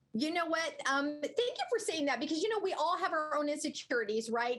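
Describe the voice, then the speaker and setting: A woman talks at a very fast pace with lively intonation, and there is noticeable background noise. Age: 60s. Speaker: skincare product spokesperson. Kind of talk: sales pitch.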